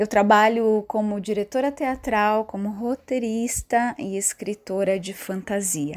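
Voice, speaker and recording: A woman talks fairly slowly with hardly any pauses, her pitch fairly high. It is a plain, everyday voice, with ordinary pitch variation. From Santa Catarina, Brazil. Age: 30s. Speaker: theatre director and writer. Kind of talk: prepared statement.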